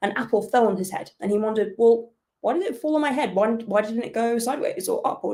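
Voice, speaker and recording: The speaker talks at a very fast pace with lively intonation in a British accent. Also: woman. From UK. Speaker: astrophysicist. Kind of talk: lecture.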